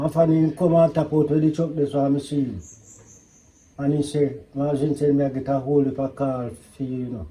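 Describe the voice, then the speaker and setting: A fairly high-pitched man with a dark, mellow, somewhat breathy tone, fairly even intonation, a fairly quick pace and long, frequent pauses. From rural Jamaica. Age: 80s+. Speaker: farmer. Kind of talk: casual chat.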